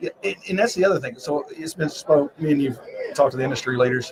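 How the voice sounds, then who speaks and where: A man speaks with a Southern US accent and ordinary pitch variation. Noticeable background noise runs behind him. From US South. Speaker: finance industry professional. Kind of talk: casual interview chat. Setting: trade show floor. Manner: animated.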